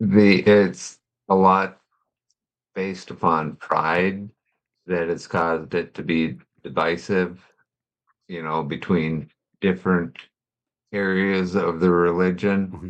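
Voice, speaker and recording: Speaking very slowly with long, frequent pauses, a man talks at a very deep, low pitch, his intonation fairly even but his loudness swinging widely. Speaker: guest. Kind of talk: casual chat.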